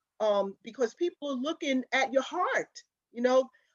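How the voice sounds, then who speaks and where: Moderate pace and ordinary pitch variation in a New York accent, with a dry, close sound and no echo. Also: woman. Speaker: community advocate panelist. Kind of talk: panel discussion.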